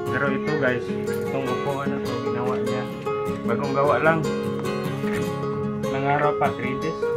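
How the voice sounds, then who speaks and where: Loud music plays in the background. A man speaks with long, frequent pauses. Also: moderate pace. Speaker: vlogger. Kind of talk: casual talk to camera. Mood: relaxed, playful. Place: home room.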